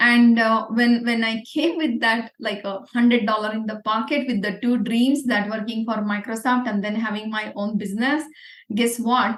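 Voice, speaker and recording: A woman with a Marathi Indian accent speaks at a moderate pace, her fairly high pitch held in a fairly even intonation. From India, Pune. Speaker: entrepreneur. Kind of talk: interview.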